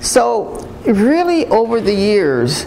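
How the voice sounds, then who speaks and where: A woman talks over noticeable background noise. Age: 70s. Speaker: retired nursing professor and dean. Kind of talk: talk to students. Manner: halting, many fillers and restarts.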